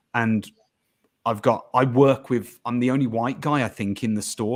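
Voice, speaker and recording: Recorded very cleanly against a silent background, a man with a Birmingham accent speaks at a medium pitch with fairly even intonation. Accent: Birmingham English (Brummie). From England, Birmingham. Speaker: podcast guest. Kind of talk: casual chat.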